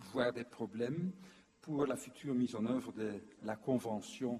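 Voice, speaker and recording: Using fairly even intonation, a man speaks at a medium pitch with a dark, mellow tone. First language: not French (speaking French). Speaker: former UNESCO official, lecturer. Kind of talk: conference lecture. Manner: hesitant, many fillers.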